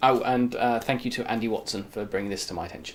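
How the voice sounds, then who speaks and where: A man speaks with a British accent. His pace is very fast. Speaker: YouTube show host. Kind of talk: casual monologue to camera. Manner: animated.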